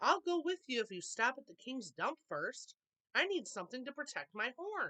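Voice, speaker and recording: A female-sounding voice puts on a character voice. It is high-pitched and moves at a moderate pace. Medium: read story.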